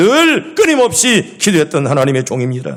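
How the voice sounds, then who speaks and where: Audible room echo surrounds a man's fairly high voice. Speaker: pastor. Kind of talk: sermon. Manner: animated.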